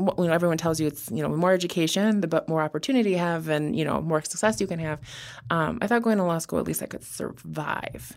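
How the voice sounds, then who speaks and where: Woman with an American accent, fairly low in pitch, very fast, with ordinary pitch variation. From Wisconsin. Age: 30s. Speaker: criminal defense attorney. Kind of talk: interview. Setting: studio.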